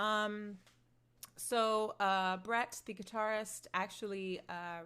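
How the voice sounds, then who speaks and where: Intonation stays fairly even. A woman speaks very slowly. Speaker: singer-songwriter. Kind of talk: livestream Q&A reading chat. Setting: outdoors at computer livestream. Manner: loud.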